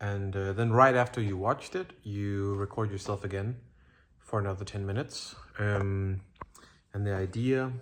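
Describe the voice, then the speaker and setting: At a moderate pace, a man speaks with fairly low pitch. His intonation is fairly even. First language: not English. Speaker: streamer and vlogger. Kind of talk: casual talk to camera. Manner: halting, many fillers.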